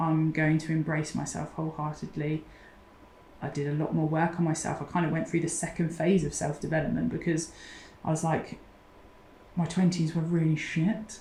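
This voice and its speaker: The speaker uses a southern English accent at a moderate pace, with long, frequent pauses. The intonation is monotone and flat. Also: woman, very deep, low pitch for a woman. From southern England, Oxfordshire. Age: 40s. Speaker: mental health support founder. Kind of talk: interview.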